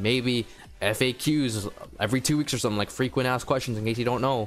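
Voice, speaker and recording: Music plays in the background as a man speaks. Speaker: gaming youtuber. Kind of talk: casual commentary vlog. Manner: quiet; halting.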